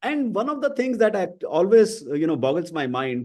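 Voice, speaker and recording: Against a quiet background, a man with an Indian accent speaks at a moderate pace. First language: Hindi. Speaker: podcast host. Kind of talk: interview conversation.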